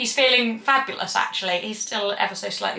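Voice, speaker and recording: A woman speaks with a Cornish accent. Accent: Cornish twang. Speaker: equestrian vlogger. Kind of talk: casual vlog talk to camera.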